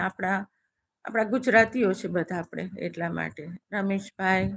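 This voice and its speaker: Medium-pitched female voice with vocal fry and fairly even intonation. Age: 60s. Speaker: live-stream host. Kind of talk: casual live-stream chat with viewers.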